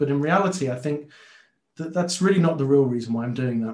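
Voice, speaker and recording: A fairly high-pitched male voice, somewhat breathy, with ordinary pitch variation. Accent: London. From London, Tottenham. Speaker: software consultant and conference speaker. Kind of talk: technical talk to a user group. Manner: many filler words and repetitions.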